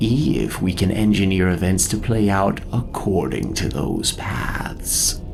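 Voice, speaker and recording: Using a put-on character voice, a man talks at a fairly slow pace in a fairly low pitch with hardly any pauses, over clear background noise. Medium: audio drama. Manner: solemn, soft, self-assured.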